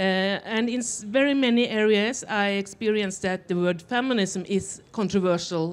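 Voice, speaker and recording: Ordinary pitch variation marks this woman's voice as she speaks at a moderate pace. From Norway. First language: Norwegian. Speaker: author; panelist. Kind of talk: panel discussion; panel discussion answer. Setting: festival stage with audience. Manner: halting. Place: stage. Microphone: handheld.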